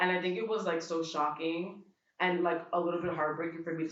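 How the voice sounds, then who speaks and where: A very fast-talking woman with an American accent, in audible room echo. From US, Dominican family. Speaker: event attendee interviewee. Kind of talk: casual interview. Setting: art exhibition event.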